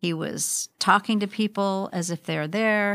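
An ordinary speaking voice belongs to a woman with an American accent and a medium pitch. Her intonation is fairly even, and the sound is dry and close, with no echo. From Spokane, Washington. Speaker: church member. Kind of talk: casual chat.

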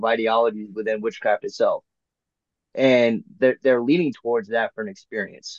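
The man has an unremarkable speaking voice at a medium pitch, talking at a moderate pace in a dry, close sound with no echo. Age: 30s. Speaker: podcast host. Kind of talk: casual chat.

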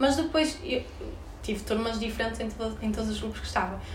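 Amid noticeable background noise and audible room echo, a woman talks at a very fast pace in a fairly high pitch, with an animated tone and ordinary pitch variation. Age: 20s. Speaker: university student. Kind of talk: casual chat.

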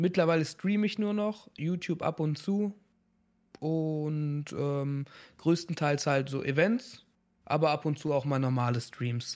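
The man has a normal speaking voice, fairly high in pitch with ordinary pitch variation. He speaks at a fairly slow pace in a very clean recording with a silent background. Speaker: streamer and event show host. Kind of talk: casual chat.

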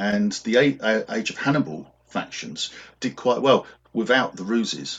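Vocal fry runs through a man's medium-pitched voice with a British accent. He speaks at a fairly slow pace with very wide pitch swings. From England. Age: 50s. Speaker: wargamer and video creator. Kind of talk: casual interview chat. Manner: hesitant, many fillers.

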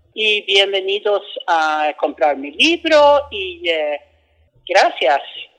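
Using very wide pitch swings, a woman speaks at a medium pitch with a Swedish accent. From Sweden. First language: Swedish (speaking Spanish). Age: 70s. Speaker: author. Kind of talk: book promotion interview. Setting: book fair. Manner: halting.

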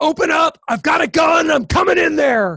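A man shouts in a put-on character voice, gravelly and raspy. His pitch is extremely high. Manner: threatening.

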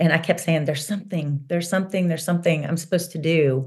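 Somewhat breathy, fairly low-pitched speech from a woman, monotone and flat, over a quiet background. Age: 50s. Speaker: author and coach. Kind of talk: interview.

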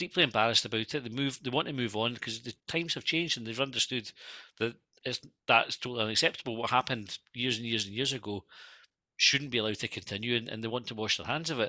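The speaker has an Edinburgh accent. The pace is very fast. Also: man, medium pitch for a man, ordinary pitch variation. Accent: Scottish (Edinburgh). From Scotland. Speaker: football fan podcaster. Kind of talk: casual interview chat. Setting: remote video call.

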